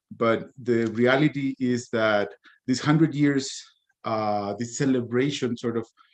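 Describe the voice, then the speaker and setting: In a Spanish accent, a man speaks at a very slow pace. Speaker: comics editor and cartoonist. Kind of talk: conference talk. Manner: halting, many fillers and repetitions.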